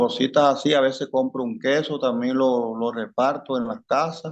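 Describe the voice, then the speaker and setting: An unremarkable speaking voice from a man, medium in pitch, moderate in pace, with fairly even intonation. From Colombia, rural town. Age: 60s. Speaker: armed conflict victim. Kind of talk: interview.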